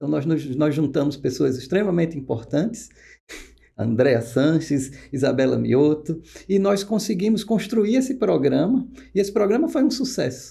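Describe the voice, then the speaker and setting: With a northeastern Brazilian accent, a man with a fairly high pitch and a dark, mellow tone speaks at a moderate pace, his pitch swinging very widely, with vocal fry. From Pernambuco, northeast Brazil. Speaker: oncologist. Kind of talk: podcast interview.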